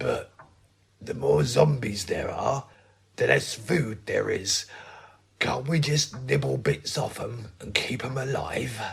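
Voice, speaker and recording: Using a raspy, put-on character voice, a man speaks at a medium pitch. He goes fairly slowly, with long, frequent pauses. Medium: audio drama. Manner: mild, baffled.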